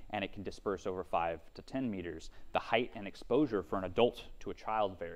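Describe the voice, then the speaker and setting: At a very fast pace, a man talks with a fairly low pitch. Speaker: startup business development director. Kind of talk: lecture. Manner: soft-spoken.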